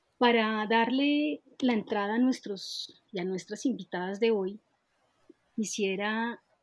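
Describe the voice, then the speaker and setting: Speaking at a very slow pace, a woman uses a fairly high, somewhat breathy voice with fairly even intonation. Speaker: podcast host, dance researcher. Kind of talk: interview conversation.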